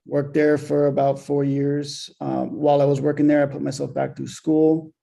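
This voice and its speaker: A man speaks. Background music plays behind him. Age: 30s. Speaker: crypto project founder. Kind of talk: interview. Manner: hesitant, many fillers.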